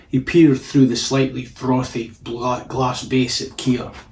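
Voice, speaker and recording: A man talks at a medium pitch with a somewhat breathy voice. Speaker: author reading own story. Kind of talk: audiobook narration of a story.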